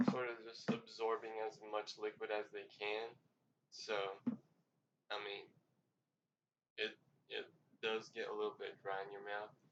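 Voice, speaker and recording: A man speaks quietly. He leaves long, frequent pauses. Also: fairly slow pace. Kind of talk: casual food review talk to camera. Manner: quiet, low volume.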